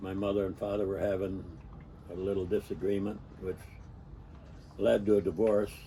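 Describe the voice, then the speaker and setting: A man's fairly low, somewhat breathy voice with a dark, mellow tone and an American accent, flat and monotone in delivery, at a moderate pace with long, frequent pauses. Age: 80s+. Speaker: storyteller recounting his life. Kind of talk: personal reminiscence monologue. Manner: halting, with many fillers.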